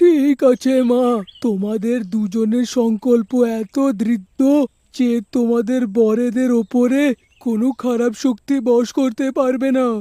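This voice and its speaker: Using a cartoonish character voice at an extremely high pitch, a man talks fairly slowly with fairly even intonation, and the sound is dry and close with no echo. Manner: kindly, fatherly.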